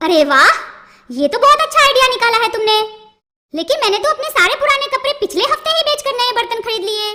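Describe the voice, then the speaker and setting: A woman performs a cartoonish character voice at an extremely high pitch. She moves at a fairly quick pace with very wide pitch swings. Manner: blunt, scolding.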